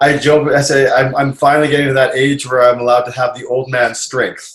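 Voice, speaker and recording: Fairly high, somewhat breathy male voice with a Canadian accent, fairly even intonation and a moderate pace. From Canada (Winnipeg, Manitoba). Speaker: retired pro wrestler. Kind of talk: casual chat. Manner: halting.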